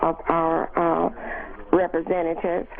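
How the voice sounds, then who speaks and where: Through noticeable background noise, a woman talks at a fairly low pitch. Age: 70s. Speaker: caller, retiree. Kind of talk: call-in comment. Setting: phone call.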